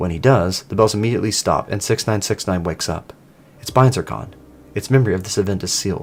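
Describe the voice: The speaker does plain reading aloud. Pitch moves in an ordinary way.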